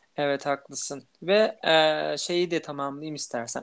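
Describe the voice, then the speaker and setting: Against a silent background in a very clean recording, a man speaks very slowly in a fairly high-pitched voice. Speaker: podcast co-host who stutters. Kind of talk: casual chat.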